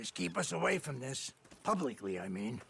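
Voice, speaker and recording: This is a put-on character voice, raspy in texture. It moves at a moderate pace with very wide pitch swings. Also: man, medium pitch for a man. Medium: video game. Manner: suspicious, venomous.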